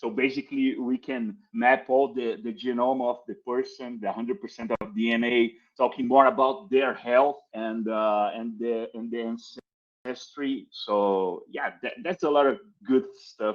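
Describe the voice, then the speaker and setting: Using a Brazilian accent, a man talks at a fairly slow pace and medium pitch with ordinary pitch variation. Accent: non-native English, Brazilian. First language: Portuguese. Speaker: crypto marketing executive. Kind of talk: podcast interview. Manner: halting, many repetitions and fillers.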